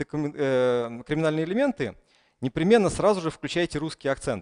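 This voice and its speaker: Against a quiet background, a man speaks with lively intonation. His pitch is fairly high. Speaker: conference speaker. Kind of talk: conference talk. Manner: hesitant with fillers. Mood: humorous storytelling. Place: hall.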